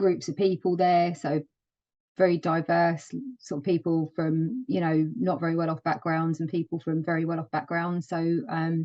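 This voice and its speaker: The speaker has a London accent and a moderate pace. Intonation stays fairly even. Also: woman, fairly low pitch for a woman. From London, east side. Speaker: project management office lead. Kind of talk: interview. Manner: hesitant, many fillers.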